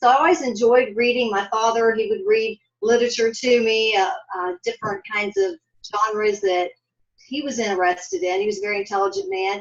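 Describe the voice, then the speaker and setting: In an ordinary speaking voice, a woman with an American accent talks at a fairly quick pace, fairly high in pitch, with ordinary pitch variation. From US Midwest, Columbus, Ohio. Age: 60s. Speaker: author. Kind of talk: interview.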